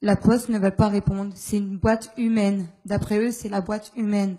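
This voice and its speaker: Against a quiet background, a woman speaks at a moderate pace in a flat monotone, her tone dark and mellow and somewhat breathy. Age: 20s. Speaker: postal worker, stroke victim; audience member. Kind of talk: testimony. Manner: halting. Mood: aggrieved, earnest. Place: hall. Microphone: handheld.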